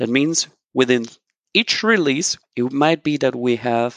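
A man with a Spanish accent talks at a fairly slow pace and a medium pitch, with ordinary pitch variation and a dry, close sound with no echo. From Colombia. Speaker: software consultant. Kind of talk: interview.

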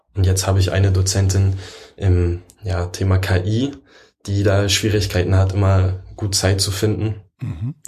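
Very deep and low, a man's somewhat breathy voice has a dark, mellow tone and a monotone, flat intonation at a fairly slow pace. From Berlin. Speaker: computer science work-study student. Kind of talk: casual interview chat.

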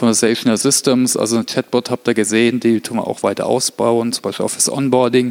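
A man speaks at a fairly quick pace with hardly any pauses, in a medium pitch and a monotone, flat delivery. The sound is dry and close with no echo, and there is noticeable background noise. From Germany, Heilbronn area (Württemberg). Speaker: corporate learning specialist and speaker. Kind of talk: conference talk.

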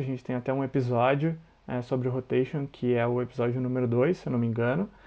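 A man with a normal speaking voice talks at medium pitch and a fairly quick pace. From Santa Catarina, Brazil. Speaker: podcast host. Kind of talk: casual interview.

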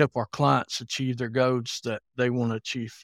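A man with a Southern US accent talks in a flat monotone at medium pitch, with a dry, close sound with no echo and a very clean, silent background. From Alabama, US. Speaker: consulting manager.

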